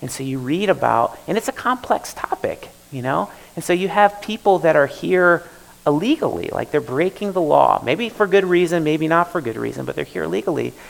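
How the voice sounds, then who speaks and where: A man talks at a fairly quick pace with an American accent. Noticeable background noise runs under him. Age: 40s. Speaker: pastor. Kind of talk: sermon. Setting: church. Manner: halting.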